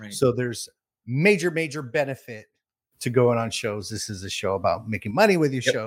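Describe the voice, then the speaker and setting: On a very clean recording with a silent background, a man with a plain, everyday voice speaks fairly quickly at a medium pitch with lively intonation. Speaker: podcast host. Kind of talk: casual interview. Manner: casual, filler words.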